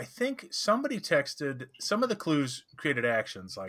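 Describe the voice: A man with big pitch swings, a bright, sharp tone and a fairly slow pace.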